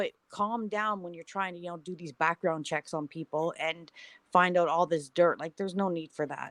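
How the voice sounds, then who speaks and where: A normal speaking voice from a woman, fairly low in pitch, with fairly even intonation, big swings in loudness, and a dry, close sound with no echo. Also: moderate pace. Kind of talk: casual chat.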